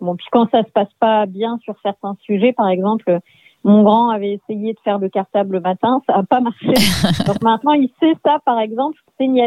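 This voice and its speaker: A woman talks at a moderate pace with a fairly high pitch and ordinary pitch variation. It is an unremarkable speaking voice. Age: 40s. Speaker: parent guest. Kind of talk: casual chat.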